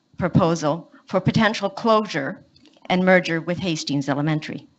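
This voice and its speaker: A woman speaks in a plain, everyday voice at medium pitch and a moderate pace, with ordinary pitch variation. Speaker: parent delegate at school board meeting. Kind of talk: prepared public statement. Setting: public meeting.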